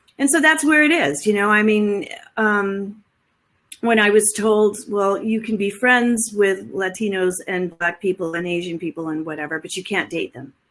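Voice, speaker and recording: Speaking in an American accent, a woman with an unremarkable speaking voice talks at a moderate pace and medium pitch, with lively intonation and big swings in loudness. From West Texas, near El Paso. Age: 60s. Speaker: professor. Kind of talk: casual chat.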